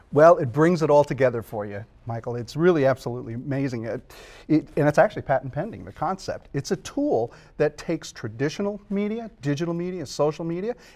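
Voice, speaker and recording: In a very clean recording with a silent background, a man with an unremarkable speaking voice talks at a fairly quick pace, his fairly high pitch carried by lively intonation. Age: 50s. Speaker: author and social media expert. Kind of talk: tv interview.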